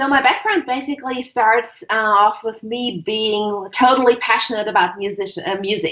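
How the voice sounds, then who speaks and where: Speaking with a German accent, a woman talks at a moderate pace in a fairly high pitch, with ordinary pitch variation and hardly any pauses. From Germany. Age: 50s. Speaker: creativity consultant. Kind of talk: interview.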